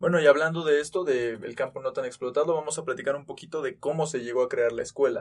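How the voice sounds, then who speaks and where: Talking at a very fast pace with hardly any pauses, a man keeps ordinary pitch variation. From Mexico, Tulancingo, Hidalgo. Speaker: university student podcast host. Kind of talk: casual chat.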